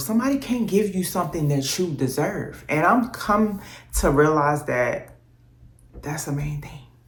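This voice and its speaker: Over audible room echo, a woman speaks fairly slowly in a somewhat breathy voice with lively intonation. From US South, New Orleans and Texas. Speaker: vlogger. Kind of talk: casual vlog monologue.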